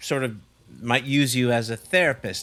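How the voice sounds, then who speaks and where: A man speaks in a Canadian accent, his tone bright and sharp at a medium pitch with ordinary pitch variation. The pace is fairly quick, and the recording is very clean with a silent background. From western Canada, Vancouver. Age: 60s. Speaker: drum teacher and personal trainer. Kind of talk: casual chat.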